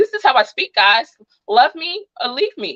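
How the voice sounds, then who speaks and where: A woman speaks loudly in an American accent, her pitch swinging very widely. Music plays in the background. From New Jersey. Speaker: true crime and tarot YouTuber. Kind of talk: livestream chat. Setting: livestream. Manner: fast.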